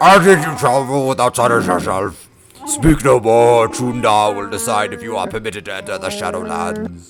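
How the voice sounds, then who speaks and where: Over background music, a man does a put-on character voice at medium pitch, with lively intonation and a moderate pace. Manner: commanding, authoritative.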